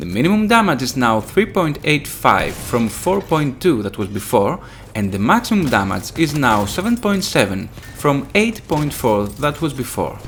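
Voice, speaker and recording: With music in the background, a man speaks with a Greek accent at a fairly high pitch, his voice swinging very widely in pitch. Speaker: gaming youtuber. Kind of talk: tutorial.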